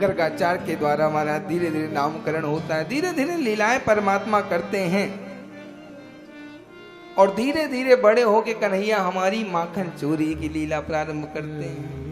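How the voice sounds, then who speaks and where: Music sounds in the background as a man speaks. His pitch is high and his intonation lively. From Bihar, India. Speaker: religious discourse preacher. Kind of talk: religious sermon.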